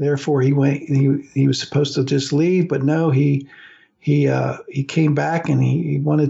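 At a fairly slow pace, a man talks in a fairly high, somewhat breathy voice. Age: 60s. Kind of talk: radio talk monologue on religion. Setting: radio studio.

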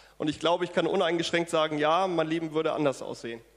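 This man has a high-pitched voice. His intonation stays fairly even. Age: 40s. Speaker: church member giving testimony. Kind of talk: testimony. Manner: hesitant, many fillers.

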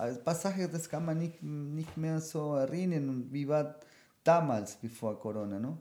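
In a very clean recording with a silent background, a man with a Spanish accent speaks at a moderate pace in a fairly high pitch, his tone dark and mellow. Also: ordinary pitch variation. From Argentina, Buenos Aires. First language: Spanish (speaking German). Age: 40s. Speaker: professional cook and DJ. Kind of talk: casual chat. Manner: halting.

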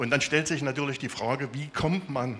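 An unremarkable speaking voice from a man, fairly high in pitch, with ordinary pitch variation and a moderate pace. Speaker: software developer, church member. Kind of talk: testimony.

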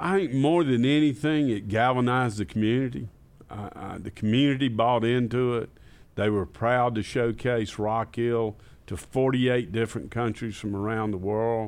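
A man in a Southern US accent, at a moderate pace with ordinary pitch variation. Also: medium pitch for a man. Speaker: parks and recreation director.

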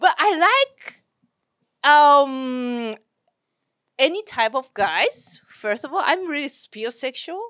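Very slowly and with long, frequent pauses, a woman speaks in a high, bright, sharp voice. Her pitch swings very widely, and the sound is dry and close with no echo. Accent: Japanese. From Japan. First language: Japanese. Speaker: comedian. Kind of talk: casual chat.

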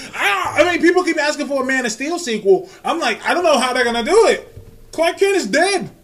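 With noticeable background noise, a man speaks at an extremely high pitch in an animated tone, at a fairly quick pace with very wide pitch swings. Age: 30s. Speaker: comic book podcast host. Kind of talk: casual chat.

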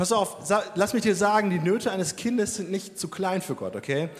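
This man has a high-pitched voice. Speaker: Sunday school worker. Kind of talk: testimony. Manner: casual.

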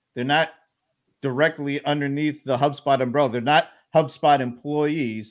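This man has an unremarkable speaking voice with a fairly high pitch. He talks at a fairly slow pace with fairly even intonation. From US South (Atlanta). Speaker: live stream host. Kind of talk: casual interview. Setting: live stream video call.

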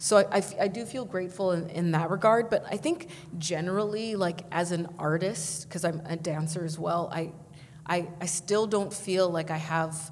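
This woman has an unremarkable speaking voice, pitched fairly low. She talks at a moderate pace with fairly even intonation. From Vancouver, Canada. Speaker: poet. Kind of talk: poetry reading; panel discussion. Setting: stage with audience.

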